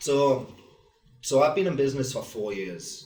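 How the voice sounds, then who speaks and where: A man's voice with very wide pitch swings at a moderate pace, audible room echo and noticeable background noise. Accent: English. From northern England, Wallsend, Newcastle. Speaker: painting company owner. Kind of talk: live podcast discussion. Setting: podcast suite at expo.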